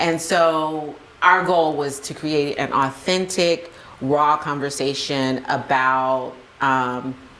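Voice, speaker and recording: With an American accent, a woman speaks at a very deep, low pitch and a very slow pace. Her intonation is fairly even, and audible room echo surrounds her. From US South, Spartanburg, South Carolina. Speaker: podcast co-founder and mother. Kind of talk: interview. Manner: casual, many fillers.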